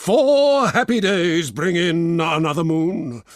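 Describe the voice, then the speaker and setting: Putting on a character voice, a man sounds resonant and theatrical, with a fairly high pitch and lively intonation. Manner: theatrical, grand.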